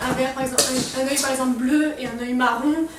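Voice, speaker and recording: Audible room echo and noticeable background noise surround a woman speaking at a moderate pace in a high pitch. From Strasbourg, Alsace, France. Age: young (18). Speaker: lifestyle vlogger. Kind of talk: casual vlog talk to camera.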